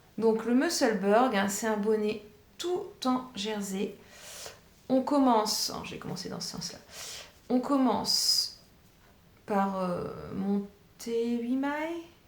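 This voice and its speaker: Audible room echo surrounds a woman's fairly high voice as she speaks at a very slow pace with ordinary pitch variation and long, frequent pauses. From northern France, Pas-de-Calais. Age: 40s. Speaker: knitting vlogger, primary school teacher. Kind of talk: casual chat. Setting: home kitchen. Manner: hesitant, many fillers.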